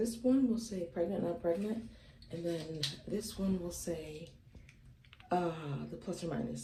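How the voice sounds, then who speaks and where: The woman's medium-pitched voice carries an audible room echo. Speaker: beauty and lifestyle vlogger. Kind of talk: personal vlog. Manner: soft-spoken.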